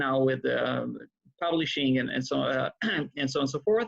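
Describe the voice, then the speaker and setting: A man speaks with an Israeli accent. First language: Hebrew. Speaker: rabbi and author. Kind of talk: interview. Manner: hesitant, many fillers.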